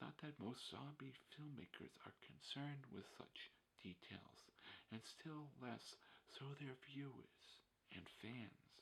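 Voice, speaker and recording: Whispering at a very slow pace, a man uses a soothing tone. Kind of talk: ASMR reading of an essay. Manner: whispered; soft-spoken, soothing.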